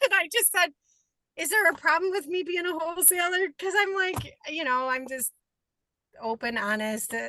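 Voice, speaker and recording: In an American accent, a raised, projected voice with a bright, sharp tone moves at a moderate pace through very wide pitch swings. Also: woman, extremely high pitch for a woman. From upstate New York. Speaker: aspiring real estate wholesaler. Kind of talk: self-introduction in online group call.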